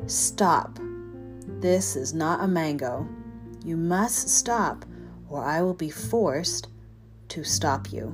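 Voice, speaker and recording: A booming, put-on character voice at a very slow pace, with long, frequent pauses and music in the background. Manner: warning, commanding.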